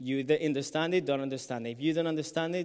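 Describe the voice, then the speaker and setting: A fairly high-pitched man's voice with a Colombian accent on a very clean recording with a silent background. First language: Spanish. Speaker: illustrator and graphic facilitator. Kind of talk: conference talk. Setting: stage with audience. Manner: hesitant, many fillers.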